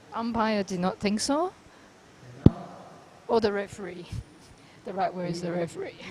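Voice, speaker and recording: Pausing long and often, a woman with a non-native accent speaks with ordinary pitch variation over noticeable background noise. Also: medium pitch for a woman, moderate pace. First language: not English. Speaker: squash commentator. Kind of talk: live commentary.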